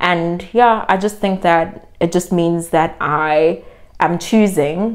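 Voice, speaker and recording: In a Zulu accent, a woman speaks at a very slow pace. Her pitch is fairly low. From South Africa, Durban. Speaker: vlogger. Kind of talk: casual vlog monologue. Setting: in South Africa.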